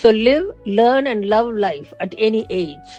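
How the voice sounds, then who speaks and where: Music plays in the background. The speaker goes at a very slow pace with lively intonation. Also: woman. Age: 60s. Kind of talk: casual talk to camera.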